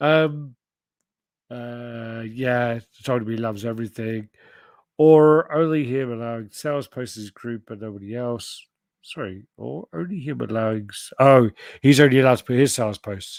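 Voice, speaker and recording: A mumbling speaker with a British accent talks at a moderate pace, with long, frequent pauses and ordinary pitch variation. Loudness swings a lot, and the recording is very clean with a silent background. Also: man. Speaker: podcast host. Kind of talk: casual chat. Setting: live stream.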